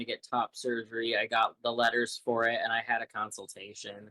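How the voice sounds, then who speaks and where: A man's bright, sharp voice comes through with a dry, close sound and no echo. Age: 20s. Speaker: college student, singer and visual artist. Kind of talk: interview. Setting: live stream interview.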